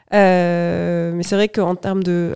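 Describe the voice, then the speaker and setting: A woman's fairly low-pitched voice, dark and mellow in tone, on a very clean recording with a silent background. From Toulouse, southwest France. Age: 30s. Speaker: sales manager. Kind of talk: interview.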